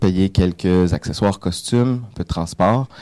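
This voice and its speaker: In a dry, close sound with no echo, a man with a very deep, low pitch and a dark, mellow tone speaks at a fairly slow pace with ordinary pitch variation. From Quebec, Montreal. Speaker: filmmaker. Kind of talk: radio panel discussion. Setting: radio studio.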